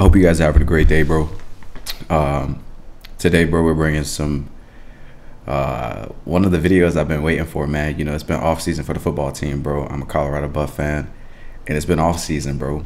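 The speaker goes at a fairly quick pace with monotone, flat intonation. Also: man, very deep, low pitch for a man. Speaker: reaction video host. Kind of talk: casual vlog chat. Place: home room.

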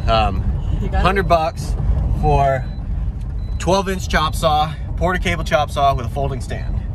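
A man is speaking, and the sound is dry with no echo. Noticeable background noise runs underneath. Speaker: homestead vlogger. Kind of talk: casual vlog chat. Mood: excited about a bargain. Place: car. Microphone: phone near.

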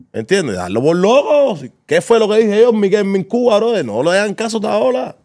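A high-pitched man at a moderate pace, quiet background. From Havana, Cuba; Cuba. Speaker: co-host. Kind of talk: casual chat. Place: studio. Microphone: studio mic.

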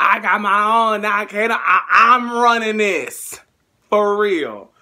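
A man's raised, projected voice with a bright, sharp tone, over a quiet background. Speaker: YouTuber / vlogger; YouTuber, vlogger. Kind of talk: casual vlog. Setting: in his bedroom at parents' house. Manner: animated. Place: home room. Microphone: phone near.

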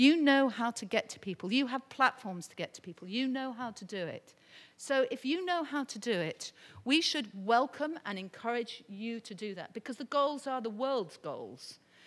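A woman talks with a high pitch and lively intonation. Her loudness swings widely. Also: moderate pace. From Britain. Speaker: UN development advisor; speaker. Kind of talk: conference panel talk. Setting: stage with audience. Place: hall. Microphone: podium.

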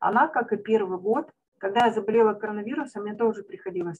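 A woman's ordinary speaking voice, fairly high in pitch, with ordinary pitch variation. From Nizhnevartovsk, Russia. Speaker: company partner sharing a story. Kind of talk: storytelling, testimonial.

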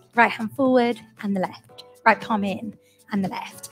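Moderate pace and ordinary pitch variation, with faint music in the background. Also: woman. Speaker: fitness instructor. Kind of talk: workout class instruction. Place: home room. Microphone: headset.

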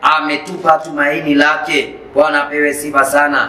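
Spoken at a moderate pace with a Kenyan accent, the voice stays flat and monotone, with audible echo from the room. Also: man. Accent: Kenyan Swahili. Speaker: preacher. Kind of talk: sermon. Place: church.

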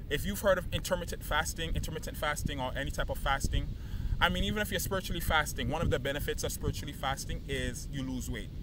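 Speaking very fast, a man's dry, echo-free voice sits against noticeable background noise. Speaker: fitness coach. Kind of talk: casual motivational talk to camera. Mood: earnest, encouraging. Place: beach. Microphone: camera far.

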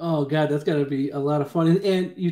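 A man's fairly high voice with an American accent, fairly quick and fairly even in intonation, with audible room echo over a quiet background. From Syracuse, New York; New York. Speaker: podcast host. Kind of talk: interview. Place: home room. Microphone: video call.

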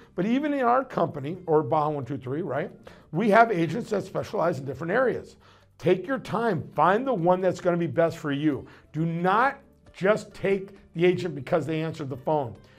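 Over faint background music, a man speaks at a moderate pace with a high pitch. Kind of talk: promotional advice talk. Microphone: lapel.

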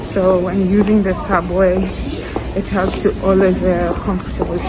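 Music plays in the background. A woman talks over it at a fairly slow pace. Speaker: vlogger. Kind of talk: casual vlog chat. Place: station. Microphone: phone near.

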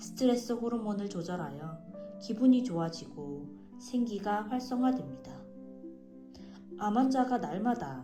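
A woman speaks at a fairly slow pace while music plays in the background. Her pitch swings very widely. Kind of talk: audiobook reading of a health book, narration.

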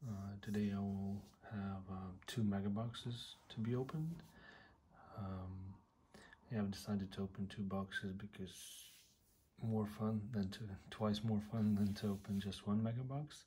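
Somewhat breathy and dark, mellow in tone, a man speaks at a fairly slow pace with fairly low pitch and fairly even intonation. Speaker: trading card collector. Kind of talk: casual talk to camera. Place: home room. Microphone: phone near.

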